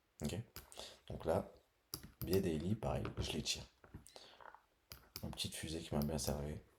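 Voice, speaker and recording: A man with a very deep, low pitch and vocal fry speaks at a moderate pace. He leaves long, frequent pauses, with ordinary pitch variation. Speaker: trading educator. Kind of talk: tutorial. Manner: casual, thinking aloud.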